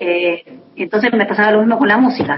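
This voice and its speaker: At a moderate pace, a woman talks in a plain, everyday voice with medium pitch and ordinary pitch variation. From Buenos Aires, Argentina. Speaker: singer-songwriter. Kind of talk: interview. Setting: phone call.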